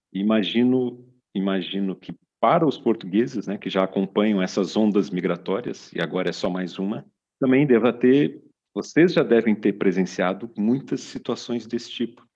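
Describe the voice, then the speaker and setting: A plain, everyday voice belongs to a man speaking at a fairly low pitch. His pace is moderate, with ordinary pitch variation. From Brazil. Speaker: podcast host and business consultant. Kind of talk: casual chat.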